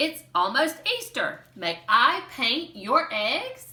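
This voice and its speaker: Very slow and high, a woman's put-on character voice leaps through very wide pitch swings. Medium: read story.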